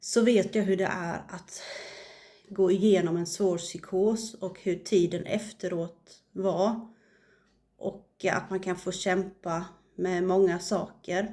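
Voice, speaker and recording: The voice is dark and mellow, flat and monotone, and moves at a very slow pace. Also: woman, medium pitch for a woman. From Sweden, west coast. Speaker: YouTuber sharing faith and mental health experience. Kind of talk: personal video message. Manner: halting, many fillers.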